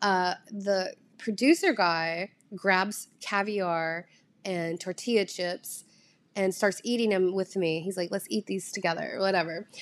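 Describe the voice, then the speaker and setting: This woman has a Southern US accent and a medium pitch, with fairly even intonation at a fairly slow pace. The recording is very clean, with a silent background. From US South. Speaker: content creator. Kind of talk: casual solo podcast monologue. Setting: home recording at a screen, no proper mic. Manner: rambling, chatty, laughs often.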